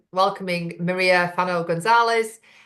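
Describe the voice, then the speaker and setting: A woman speaks with a Lancashire accent. Her intonation is fairly even. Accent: Bolton. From northern England, Bolton. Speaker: women's business networking host. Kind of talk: interview.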